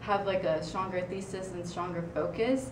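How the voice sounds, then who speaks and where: Noticeable background noise and audible room echo surround the recording. The woman's pitch varies in an ordinary way. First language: Spanish. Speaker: student writing consultant. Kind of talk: presentation. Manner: halting, many fillers.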